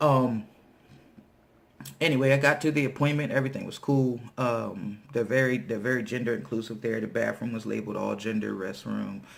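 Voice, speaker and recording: A man talks at a fairly quick pace in an unremarkable speaking voice. His pitch is medium, with ordinary pitch variation. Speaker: vlogger. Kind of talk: casual vlog monologue. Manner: casual, many fillers.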